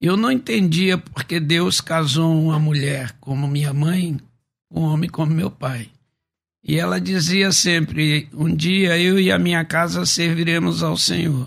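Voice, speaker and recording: A man talks in a normal speaking voice at a fairly high pitch, with ordinary pitch variation. His pace is fairly slow and his loudness very even. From Rio de Janeiro, Baixada Fluminense. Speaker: pastor and preacher. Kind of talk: testimony. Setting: radio studio.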